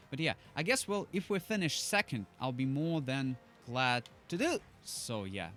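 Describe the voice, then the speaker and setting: A man with a non-native accent speaks at a moderate pace in a fairly high voice, his pitch swinging very widely, with music playing in the background. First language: not English. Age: 20s. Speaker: gaming YouTuber. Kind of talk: gameplay commentary. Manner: hesitant, many fillers.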